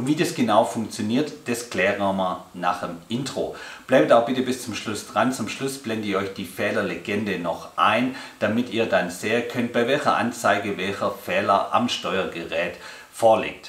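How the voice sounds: Speaking at a moderate pace with few pauses, a man with a fairly low pitch and a fairly bright tone uses ordinary pitch variation over faint background noise.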